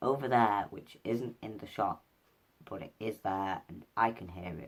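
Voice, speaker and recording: A man talks very slowly with a Mancunian accent. His pitch rises and falls in an ordinary way. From Manchester, England. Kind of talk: casual vlog. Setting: at home, in pajamas.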